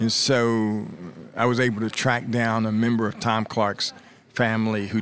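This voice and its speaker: In an unremarkable speaking voice, a man with an American accent talks at a fairly slow pace. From US Midwest, Columbus, Ohio. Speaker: author and journalism professor. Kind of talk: interview. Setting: conference venue.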